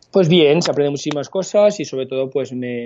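Pitched in the middle range, a man's voice moves at a fairly quick pace. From France. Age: 30s. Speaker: tech startup founder and CEO. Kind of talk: interview. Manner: halting.

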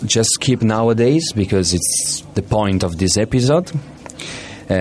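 Noticeable background noise behind a man's moderately paced speech with ordinary pitch variation. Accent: non-native. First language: not English. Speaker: radio presenter. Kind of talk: casual chat. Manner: halting.

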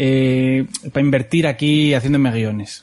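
A man talks with ordinary pitch variation. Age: 30s. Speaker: podcast host. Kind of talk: casual chat.

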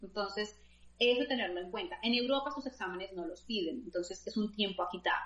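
A woman speaks fairly quickly at a fairly high pitch with ordinary pitch variation, in an ordinary speaking voice. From Colombia. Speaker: scholarship consultant. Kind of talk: interview.

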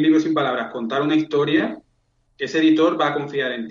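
At a fairly quick pace, a man with a plain, everyday voice speaks at a fairly high pitch with ordinary pitch variation. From Spain, Seville. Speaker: book publisher. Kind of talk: interview.

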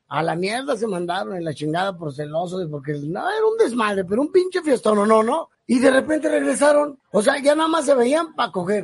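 An animated man with a Mexican accent, at a fairly quick pace with very wide pitch swings. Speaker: podcast co-host. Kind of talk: casual chat. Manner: animated, laughing often.

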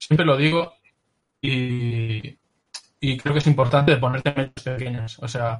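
Somewhat breathy speech at a moderate pace. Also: man. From Galicia, Spain (Pontevedra). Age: 30s. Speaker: illustrator. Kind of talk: interview.

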